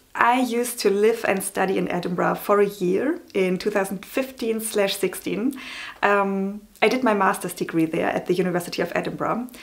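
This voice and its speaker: With a German accent, a woman of medium pitch speaks at a moderate pace with ordinary pitch variation. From Germany. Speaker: novelist and book vlogger. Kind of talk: casual vlog. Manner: hesitant, many fillers.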